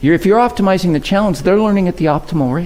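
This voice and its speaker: The man's voice sits at a high pitch. Audible room echo follows his words. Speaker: keynote speaker. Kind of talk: conference keynote. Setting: stage with audience. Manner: fast when passionate; conversational, engaging.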